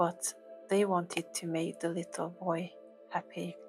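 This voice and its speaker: A soft-spoken woman talks in a fairly low voice with monotone, flat intonation. Music plays in the background. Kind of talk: ASMR cat relaxation talk to camera.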